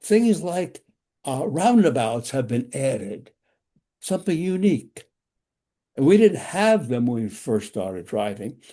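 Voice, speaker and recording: Over a quiet background, a man talks fairly slowly in a fairly high voice with a dark, mellow tone. His pitch swings very widely, and he takes long, frequent pauses. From New York. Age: 90s. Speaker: driving safety instructor. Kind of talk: lecture. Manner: halting.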